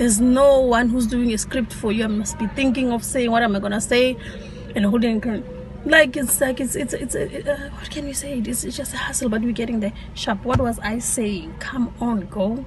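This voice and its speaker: Amid noticeable background noise and audible room echo, a woman speaks in a high pitch with fairly even intonation. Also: moderate pace. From South Africa, township. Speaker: vlogger. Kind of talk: casual vlog talk.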